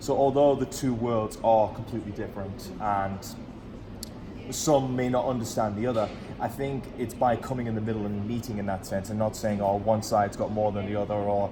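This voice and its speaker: A man's fairly low voice at a fairly quick pace, fairly even in intonation, with audible room echo and music in the background. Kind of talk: casual chat.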